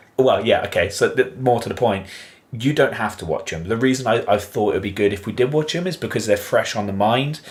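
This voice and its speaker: A man with a southern English accent speaks at a fairly quick pace, his medium pitch showing ordinary variation. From southern England. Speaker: podcast co-host. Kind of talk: casual chat.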